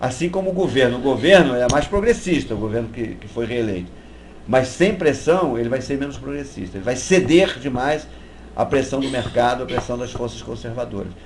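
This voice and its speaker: Speaking at a fairly quick pace, a man of medium pitch uses lively intonation. Noticeable background noise and audible room echo surround him. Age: 60s. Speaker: activist. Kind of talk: interview. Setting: live web broadcast.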